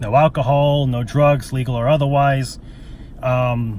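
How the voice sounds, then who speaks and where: A man's fairly high voice at a very slow pace. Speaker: vlogger sharing personal story. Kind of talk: personal testimony monologue. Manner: halting, many fillers.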